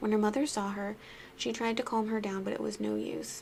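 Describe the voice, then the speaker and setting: A soft-spoken woman talks at a fairly quick pace over noticeable background noise. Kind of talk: ASMR spooky story reading.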